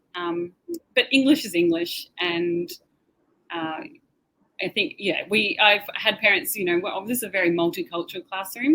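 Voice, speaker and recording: Speaking at a moderate pace with an Australian accent, a woman uses very wide pitch swings around a medium pitch, her tone bright and sharp. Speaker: teacher. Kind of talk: webinar Q&A.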